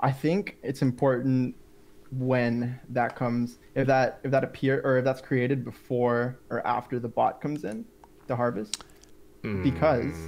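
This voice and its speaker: A man talks in a plain, everyday voice. He keeps a fairly slow pace with ordinary pitch variation. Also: medium pitch for a man. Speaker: website creator. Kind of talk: casual live stream chat. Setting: video call.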